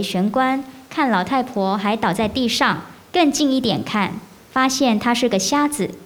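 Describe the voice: At a fairly slow pace, a woman with a fairly high pitch talks with lively intonation amid audible room echo.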